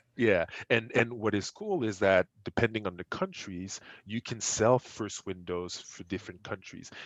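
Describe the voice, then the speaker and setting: Speaking with a French accent, a man uses a fairly low pitch at a moderate pace. His intonation stays fairly even. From Quebec, Montreal. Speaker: esports entrepreneur. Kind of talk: podcast interview. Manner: halting, many repetitions.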